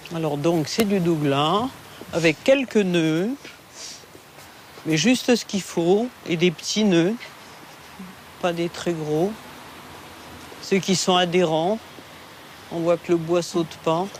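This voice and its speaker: Noticeable background noise sits behind a woman speaking at a very slow pace with long, frequent pauses. Her pitch is fairly low and varies in an ordinary way. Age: 60s. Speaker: forest owner. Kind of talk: casual chat.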